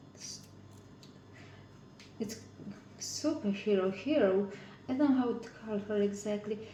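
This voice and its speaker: With a non-native accent, a woman speaks at a fairly slow pace and a fairly high pitch, leaving long, frequent pauses, with big swings in loudness and audible room echo. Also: ordinary pitch variation. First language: not English. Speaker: craft video maker. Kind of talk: casual crafting tutorial. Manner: halting.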